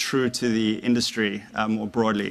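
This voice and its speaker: A man with an American accent speaks at a medium pitch and a fairly slow pace, his bright, sharp tone carried on fairly even intonation. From South Africa, Johannesburg. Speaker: former investment banker, author. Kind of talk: public talk to university audience. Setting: lecture hall with audience. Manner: hesitant, many fillers.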